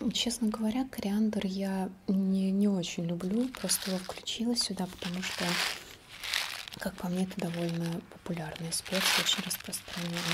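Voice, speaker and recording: A woman speaks with fairly even intonation over noticeable background noise. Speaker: ASMR creator. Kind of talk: ASMR whisper-style talk to camera. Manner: casual, conversational, unhurried. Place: home room.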